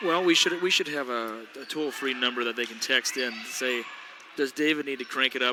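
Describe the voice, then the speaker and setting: A man at medium pitch, fairly quick pace and ordinary pitch variation, with noticeable background noise. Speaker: basketball play-by-play commentator. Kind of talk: live sports commentary. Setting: school gym. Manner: loud.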